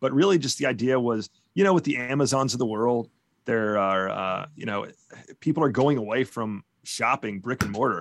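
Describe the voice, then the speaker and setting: A man with an American accent, moderate pace and ordinary pitch variation, in a dry, close sound with no echo. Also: medium pitch for a man. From US South. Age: 40s. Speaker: community relations manager at a sporting goods store. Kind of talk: casual interview. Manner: halting, many fillers.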